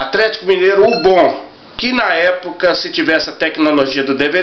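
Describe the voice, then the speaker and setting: A high-pitched male voice amid light background noise and audible room echo. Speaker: football fan collector. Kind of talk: casual talk to camera. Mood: enthusiastic, nostalgic. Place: home room. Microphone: webcam.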